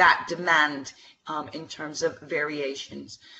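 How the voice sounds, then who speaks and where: Female speech with noticeable background noise. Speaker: webinar presenter, education and employment trainer. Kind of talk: webinar presentation with Q&A. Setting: online webinar. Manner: hesitant fillers.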